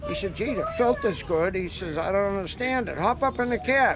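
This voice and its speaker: With a Boston accent, a man speaks at a moderate pace in a high pitch, with ordinary pitch variation and noticeable background noise. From Massachusetts South Shore. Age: 80s+. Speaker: moving company owner. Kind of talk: casual chat.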